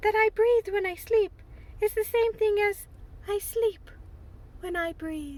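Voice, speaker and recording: A squeaky put-on character voice at a fairly slow pace with long, frequent pauses, ordinary pitch variation and light background noise. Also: woman, extremely high pitch for a woman. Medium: read story.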